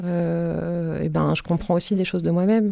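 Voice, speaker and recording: Very slowly, a woman speaks on a very clean recording with a silent background. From southern France. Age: 40s. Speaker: photographer. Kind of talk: casual chat. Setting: studio. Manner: halting, many fillers and repetitions.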